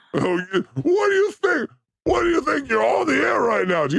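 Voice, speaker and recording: A man puts on a character voice at a high pitch. He keeps a moderate pace. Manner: menacing.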